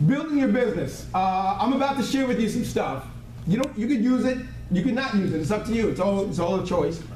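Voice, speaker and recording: This man speaks very fast and at a high pitch, with an American accent, lively intonation and very even loudness. Audible room echo and noticeable background noise are present. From US Northeast. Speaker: motivational business trainer. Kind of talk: training seminar talk to live audience. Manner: animated.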